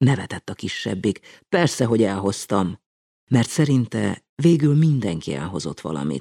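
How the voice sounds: A natural reading voice is heard, with a quiet background behind it.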